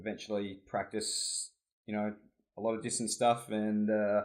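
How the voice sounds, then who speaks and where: Over a silent background in a very clean recording, a man speaks in an Australian accent. He has a fairly low pitch and fairly even intonation. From Australia (Adelaide, South Australia). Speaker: competitive swimmer and student. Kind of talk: casual chat.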